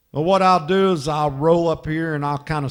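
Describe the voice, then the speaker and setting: This man has a plain, everyday voice. His pitch is fairly high, with fairly even intonation. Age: 60s. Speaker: funeral escort driver and vlogger. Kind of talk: casual narration while driving.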